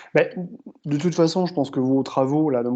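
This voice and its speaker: Against a quiet background, a man with a fairly high pitch and a dark, mellow tone talks at a fairly quick pace with fairly even intonation. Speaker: exercise physiology professor. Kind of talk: lecture Q&A answer.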